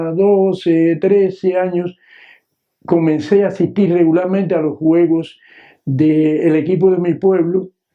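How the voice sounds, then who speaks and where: At a very slow pace, a man speaks in a high pitch with monotone, flat intonation. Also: very even loudness. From Cuba, Matanzas province (San José de los Ramos). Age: 70s. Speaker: retired teacher. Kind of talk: memoir storytelling. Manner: hesitant, many filler sounds.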